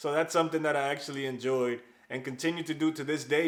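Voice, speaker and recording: A man speaks in a flat, monotone way at a fairly high pitch. Noticeable noise sits in the background. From New York, US (Dominican-born, moved at 8). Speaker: software engineer, YouTuber. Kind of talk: personal vlog storytelling. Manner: casual.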